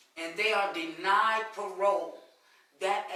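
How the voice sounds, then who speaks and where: A woman speaks at a fairly slow pace with ordinary pitch variation. Her fairly low voice carries audible room echo. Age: 60s. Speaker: prison reform advocate. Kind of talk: interview on a live webcast.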